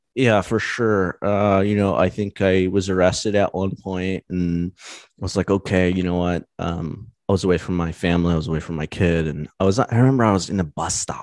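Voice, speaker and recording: Very deep and low in pitch, a man speaks with fairly even intonation over a quiet background, with a dry, close sound and no echo. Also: moderate pace. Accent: American. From US West Coast, Los Angeles County, California. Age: 30s. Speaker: engineer and YouTuber in recovery from alcohol. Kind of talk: casual interview.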